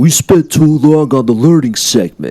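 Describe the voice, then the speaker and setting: In a put-on character voice, a man speaks at a moderate pace with a medium pitch and ordinary pitch variation. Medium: read story.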